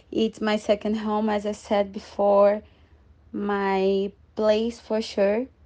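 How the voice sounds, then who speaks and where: Against a quiet background, a woman with a Portuguese accent speaks at a very slow pace and medium pitch with monotone, flat intonation. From Brazil. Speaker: former exchange student. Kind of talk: casual interview.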